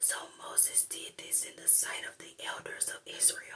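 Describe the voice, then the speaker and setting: Someone whispers at a fairly slow pace. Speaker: ASMR Bible reader. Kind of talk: soft-spoken Bible reading. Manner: soft-spoken.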